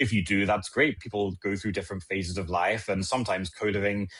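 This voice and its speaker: A man with a British accent talks at a fairly quick pace. His pitch sits fairly low, against a quiet background. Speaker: legislative attorney. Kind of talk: podcast interview.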